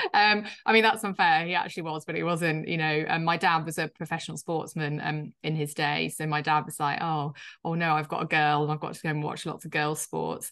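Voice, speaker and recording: Over a quiet background, a woman talks at a fairly quick pace with a very deep, low pitch and fairly even intonation. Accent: Yorkshire. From Yorkshire, northern England. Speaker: startup founder and CEO. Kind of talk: interview. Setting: video call. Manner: hesitant, filler-heavy.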